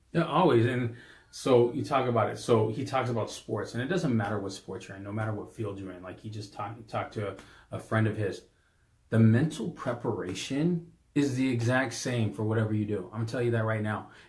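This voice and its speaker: Loud and animated, a man speaks at a medium pitch and a fairly quick pace amid audible room echo. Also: ordinary pitch variation. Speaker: podcast co-host, business coach. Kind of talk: casual podcast chat.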